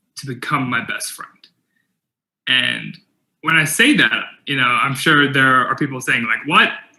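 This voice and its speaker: A man with a Californian accent at a fairly slow pace, with long, frequent pauses and big swings in loudness. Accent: General American, Californian. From US West Coast, San Jose, California. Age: 20s. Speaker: keynote speaker. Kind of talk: keynote talk. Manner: halting, with repetitions.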